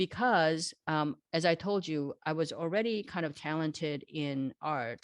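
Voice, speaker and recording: A woman speaks with a Korean accent and lively intonation. The background is quiet. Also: dry, close sound with no echo. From South Korea, moved to Los Angeles at 13. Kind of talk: interview. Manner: conversational, many fillers and restarts.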